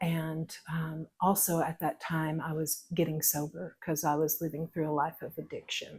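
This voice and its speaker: This woman has a very deep, low pitch and an East Texas accent, speaking somewhat breathily at a moderate pace in a monotone, flat intonation with hardly any pauses. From Northeast Texas (East Texas Piney Woods). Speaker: pickle maker interviewed on a local podcast. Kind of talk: casual interview, personal life story. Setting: her home kitchen while canning.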